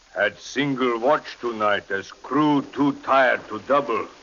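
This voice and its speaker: Speaking at a fairly slow pace with ordinary pitch variation, a man is heard over noticeable background noise. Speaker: ship's captain reading his log. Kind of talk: radio drama log narration.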